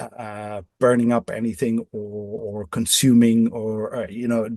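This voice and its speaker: Speaking very slowly with a Dutch accent, a man has a medium pitch and a dark, mellow tone, recorded with a dry, close sound and no echo. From Netherlands (Amsterdam). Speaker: off-grid living designer. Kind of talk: podcast interview. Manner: halting, many repetitions.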